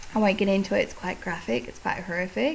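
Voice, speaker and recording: With an Australian accent, the speaker talks at a fairly quick pace over noticeable background noise. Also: woman. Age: 30s. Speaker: podcast host. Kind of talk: casual chat.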